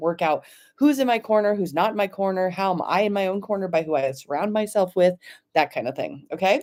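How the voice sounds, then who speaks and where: On a very clean recording with a silent background, a woman speaks at a medium pitch. Her pace is fairly quick and her intonation lively. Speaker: intuitive oracle card reader. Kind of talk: live stream card reading. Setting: live stream. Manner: fast.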